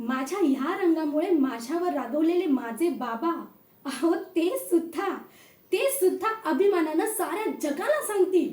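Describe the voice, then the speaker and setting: An extremely high, dark, mellow woman's voice with lively intonation. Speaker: aspiring anchor / host auditioning. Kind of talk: anchor audition, energetic event hosting. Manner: earnest, personal, direct address to audience.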